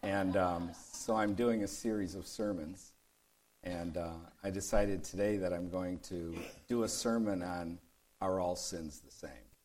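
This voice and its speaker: A man with an American accent speaks fairly slowly in a very deep, low pitch with fairly even intonation. His loudness swings widely, and audible room echo surrounds him. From US Midwest, Detroit. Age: 60s. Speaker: pastor. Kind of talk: sermon.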